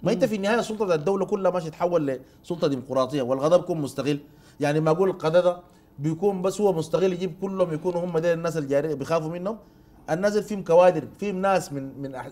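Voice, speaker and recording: This man talks at a very fast pace with high pitch and ordinary pitch variation. His tone is dark and mellow. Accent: Sudanese. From Sudan. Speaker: politician. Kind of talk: political talk show debate. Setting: studio. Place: studio. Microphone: lapel.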